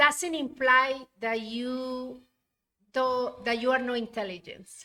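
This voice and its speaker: A woman speaks in a high, bright, sharp, raised and projected voice at a very slow pace with fairly even intonation. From Colombia. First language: Spanish. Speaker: university administrator. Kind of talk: interview conversation.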